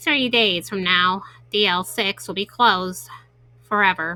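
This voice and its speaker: A woman puts on a character voice at a medium pitch, speaking at a fairly slow pace. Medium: game stream. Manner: reserved, formal.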